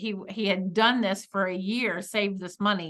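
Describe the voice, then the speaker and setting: With an American accent, a woman speaks at a medium pitch in a bright, sharp tone against a quiet background. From US South, Atlanta. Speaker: marriage podcast co-host. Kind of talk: casual advice discussion.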